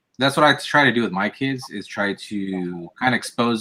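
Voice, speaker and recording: A man speaks with a slight Californian accent at a medium pitch. His tone is bright and sharp, with ordinary pitch variation. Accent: slight California West Coast. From US West Coast. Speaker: podcast host. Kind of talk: casual chat.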